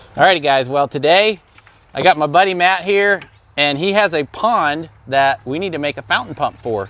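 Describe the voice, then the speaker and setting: Shouting loudly in a bright, sharp tone, the speaker keeps a moderate pace with lively intonation. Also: man, fairly high pitch for a man. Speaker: DIY repair video maker. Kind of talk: DIY tutorial. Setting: outdoors at friend's house. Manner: casual, with fillers; loud, yelling at camera.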